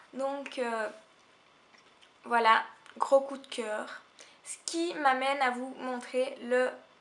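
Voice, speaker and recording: A woman speaks very slowly at a high pitch with long, frequent pauses and fairly even intonation. Her loudness swings widely over noticeable background noise. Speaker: beauty vlogger. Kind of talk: casual talk to camera.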